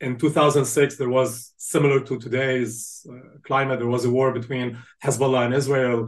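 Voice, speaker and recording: A man at a medium pitch and a moderate pace, with monotone, flat intonation. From Lebanon (Beirut). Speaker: university fundraising executive. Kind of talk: interview. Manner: repeats words, uses 'like' often.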